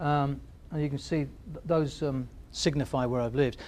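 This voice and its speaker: This man speaks very fast with an English accent. His pitch sits fairly high. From England. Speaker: business consultant. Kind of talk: workshop presentation. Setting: stage with audience. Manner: halting.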